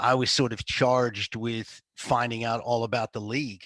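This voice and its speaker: A man with an American accent speaks in a monotone, flat way at a moderate pace and medium pitch, in a dry, close sound with no echo and a quiet background. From United States. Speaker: football betting analyst. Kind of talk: podcast interview.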